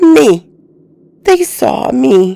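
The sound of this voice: A woman uses a put-on character voice at a very slow pace, pitched high with big swings. Her tone is dark and mellow, with vocal fry.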